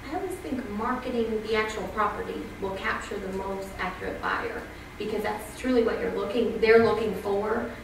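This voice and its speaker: Noticeable background noise and audible room echo fill the recording. The delivery keeps a moderate pace. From Canada. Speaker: real estate agent. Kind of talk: panel discussion. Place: hall.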